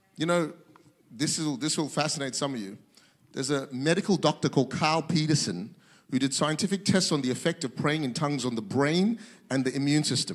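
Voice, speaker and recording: The tone is animated, with ordinary pitch variation. The pace is fairly quick, over a quiet background. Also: man. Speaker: pastor. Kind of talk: sermon. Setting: church with audience, streamed to multiple locations. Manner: animated, fervent preacher in full flow, building to a rousing call to worship. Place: church. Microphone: handheld.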